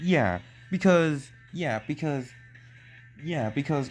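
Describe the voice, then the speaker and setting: The delivery is very slow. Music plays in the background. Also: man. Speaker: YouTube commentator. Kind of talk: commentary video narration. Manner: stuttering, frequent pauses.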